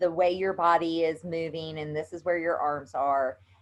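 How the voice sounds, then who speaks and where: Here a woman speaks with a Southern US accent. Her pitch is fairly low. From US South. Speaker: yoga instructor. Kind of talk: tutorial. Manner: casual, chatty.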